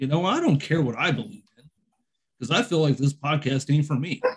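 A somewhat breathy man at a very fast pace, with lively intonation. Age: 40s. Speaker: podcast host. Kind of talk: casual chat.

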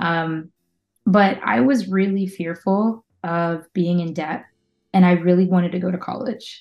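In an American accent, a woman with a normal speaking voice talks at a fairly slow pace, her pitch medium and its variation ordinary. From western Pennsylvania, Pittsburgh area. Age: 30s. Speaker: community manager and musician. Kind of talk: casual interview chat.

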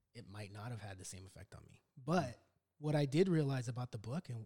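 In a Californian accent, a man talks at a very fast pace. His pitch swings very widely. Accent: Californian American. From Los Angeles, US. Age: 40s. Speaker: podcast host, Marine veteran. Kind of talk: casual chat.

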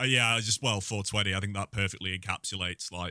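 Recorded very cleanly with a silent background, dry and close with no echo, a man speaks at a fairly quick pace in a fairly low voice with a bright, sharp tone. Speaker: podcast co-host. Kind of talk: casual chat.

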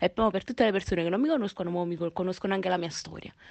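A woman speaks at a very fast pace. Her pitch sits at a medium level. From Naples, Italy. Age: 20s. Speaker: singer and online content creator. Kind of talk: casual radio interview. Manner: animated.

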